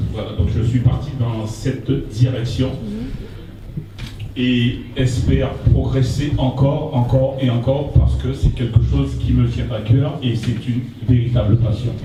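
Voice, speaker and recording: Room echo is audible as a man speaks at a fairly slow pace. His intonation is fairly even, with music in the background. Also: medium pitch for a man. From Guadeloupe. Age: 60s. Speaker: painter and poet presenting his exhibition. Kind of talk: exhibition opening speech. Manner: halting, with repeated words.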